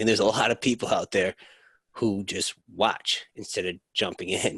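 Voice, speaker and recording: Heard in a dry, close sound with no echo, a man uses a normal speaking voice at a moderate pace, his fairly low pitch holding fairly even intonation. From US Northeast. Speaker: podcast host. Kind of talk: casual interview. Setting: remote call.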